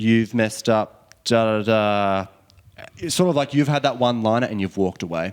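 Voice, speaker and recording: An Australian-accented man with a fairly low pitch and a moderate pace. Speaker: indie singer-songwriter and producer. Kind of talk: casual interview chat. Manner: halting, many ums.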